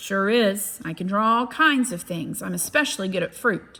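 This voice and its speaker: A woman in a put-on character voice at medium pitch and a moderate pace, in a very clean recording with a silent background. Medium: read story. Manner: gentle, warm.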